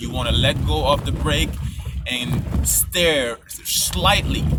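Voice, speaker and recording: Speaking with a non-native accent, a man is heard with audible room echo. Noticeable background noise sits behind him. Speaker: driver giving road safety tips. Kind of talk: casual tutorial. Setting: in a car, driving on a snowy highway. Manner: casual, slightly halting.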